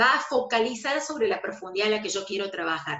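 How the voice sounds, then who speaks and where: This woman's pitch swings up and down very widely. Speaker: aesthetics instructor. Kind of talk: online lecture. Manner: fast.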